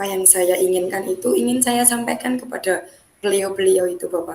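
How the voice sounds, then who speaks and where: Noticeable background noise surrounds a woman whose medium pitch shows ordinary variation. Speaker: teacher. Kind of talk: coaching role-play practice session.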